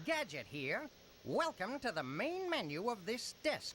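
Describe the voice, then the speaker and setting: The put-on character voice sits fairly high, with very wide pitch swings. It moves at a fairly slow pace over clear background noise. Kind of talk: robotic announcer. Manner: bad impression.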